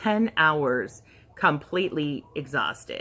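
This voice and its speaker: A woman's voice has a bright, sharp tone and lively intonation. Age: 40s. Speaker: weight loss vlogger. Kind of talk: casual vlog update. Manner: halting.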